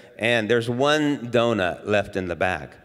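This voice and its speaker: Against a quiet background, an unremarkable speaking voice moves at a fairly slow pace with lively intonation. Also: man. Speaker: pastor. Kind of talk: sermon. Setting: church. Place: church. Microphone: handheld.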